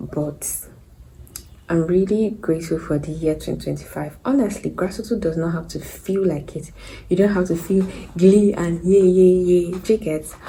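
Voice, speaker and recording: A woman whispers. Her voice is somewhat breathy. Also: moderate pace. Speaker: vlogger. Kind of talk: casual vlog monologue. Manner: hesitant; whispering.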